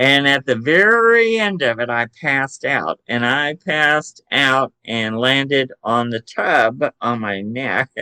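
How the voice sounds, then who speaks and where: A man with a Southern US accent speaks at a very slow pace with hardly any pauses, his medium-pitched voice lively in intonation, bright and sharp in tone, and recorded dry and close with no echo. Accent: Southern drawl. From Chattanooga, Tennessee, US South. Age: 60s. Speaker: psychic medium and paranormal investigator. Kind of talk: podcast interview. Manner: casual, hesitant with fillers.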